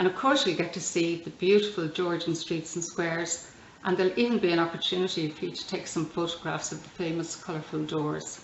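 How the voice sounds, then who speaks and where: A woman with an Irish accent talks at a fairly quick pace with hardly any pauses, her fairly low voice keeping a fairly even intonation amid audible room echo and noticeable background noise. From Ireland. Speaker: tour guide. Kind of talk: scripted promotional video.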